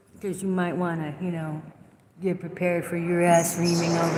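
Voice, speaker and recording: A woman with fairly low pitch at a moderate pace, with noticeable background noise and audible room echo. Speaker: vlogger. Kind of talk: casual monologue vlog. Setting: inside a store. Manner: loud.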